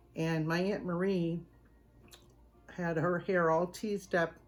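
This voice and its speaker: With music in the background, a woman in a Southern US accent speaks at a fairly slow pace and a fairly low pitch. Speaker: home cooking channel host. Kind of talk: casual storytelling to camera; video sign-off. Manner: animated.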